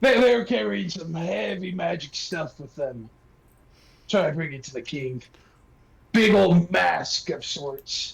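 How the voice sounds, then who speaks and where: A man in a put-on character voice, high-pitched, fairly slow, with long, frequent pauses. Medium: actual play. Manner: giggly, rambling.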